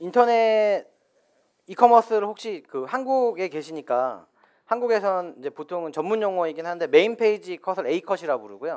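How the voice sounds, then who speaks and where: A man with high pitch speaks at a moderate pace with lively intonation and big swings in loudness in a very clean recording with a silent background. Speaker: business owner. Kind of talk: live talk show interview. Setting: studio with live audience.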